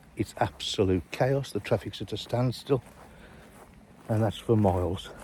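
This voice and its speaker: Dark and mellow in tone, a man's somewhat breathy voice sits fairly low in pitch, moving at a fairly slow pace with ordinary pitch variation. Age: 60s. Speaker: fishery owner. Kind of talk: casual walk-around vlog. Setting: outdoors.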